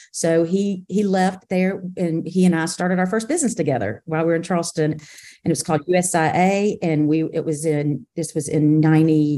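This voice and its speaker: Against a quiet background, a woman with a Southern US accent speaks with a fairly low pitch, a dark, mellow tone, and ordinary pitch variation. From South Carolina, Camden. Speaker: business executive. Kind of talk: casual interview.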